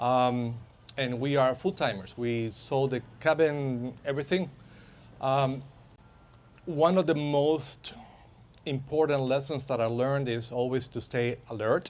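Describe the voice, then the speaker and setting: Speech moves at a fairly slow pace. The intonation is fairly even. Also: man. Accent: Spanish. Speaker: van lifer and safety instructor. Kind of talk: workshop talk. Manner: halting, many fillers.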